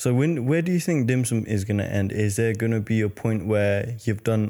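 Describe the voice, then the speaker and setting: The recording is very clean, with a silent background. A man speaks with a medium pitch, a dark, mellow tone and ordinary pitch variation. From Nepal. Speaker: podcast host. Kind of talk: casual chat.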